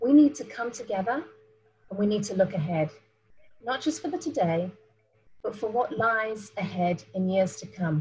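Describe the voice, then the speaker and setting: A woman's somewhat breathy voice at a moderate pace, with lively intonation, long, frequent pauses and light background noise. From South Africa. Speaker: business travel professional, panelist; presenter. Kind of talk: presentation. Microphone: webcam.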